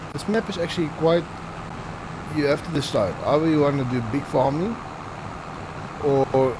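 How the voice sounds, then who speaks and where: Delivered at a moderate pace, the speech has long, frequent pauses and noticeable background noise. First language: not English. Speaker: gaming video creator. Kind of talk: gameplay commentary. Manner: stuttering; casual, self-talking.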